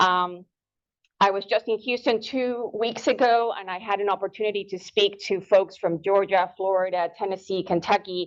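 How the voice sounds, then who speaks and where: Over a quiet background, a woman with a Spanish accent talks at a moderate pace, her medium pitch carried by fairly even intonation. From Ecuador. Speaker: horticulture extension agent. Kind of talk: lecture.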